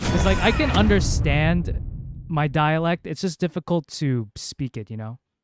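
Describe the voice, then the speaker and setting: A man's lively intonation carries at a moderate pace while music plays in the background. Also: fairly high pitch for a man. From US South. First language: Cebuano. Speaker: gaming streamer. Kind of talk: casual livestream chat.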